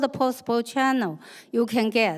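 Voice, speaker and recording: A woman with a Chinese accent is heard on a very clean recording with a silent background. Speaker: activist panelist. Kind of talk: panel discussion. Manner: halting.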